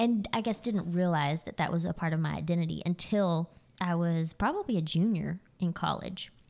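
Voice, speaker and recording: A woman's ordinary speaking voice, fairly low in pitch, with an American accent, ordinary pitch variation and moderate pace, on a very clean recording with a silent background. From Texas, Fort Worth area. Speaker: pastor's wife. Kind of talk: casual chat. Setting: dining room at home.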